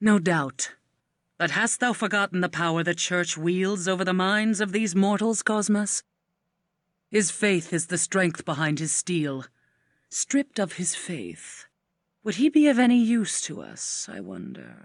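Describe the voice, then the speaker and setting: The speaker uses a put-on character voice at a middle pitch and a moderate pace. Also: quiet background. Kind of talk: archaic theatrical speech. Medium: video game. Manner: measured, imperious.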